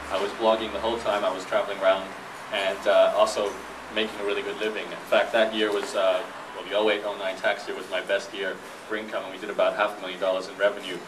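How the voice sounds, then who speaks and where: A man's very fast delivery with big swings in loudness, audible room echo, and noticeable background noise. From Brisbane, Australia. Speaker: entrepreneur and professional blogger. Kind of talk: talk to a live audience. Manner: casual, with frequent fillers and restarts.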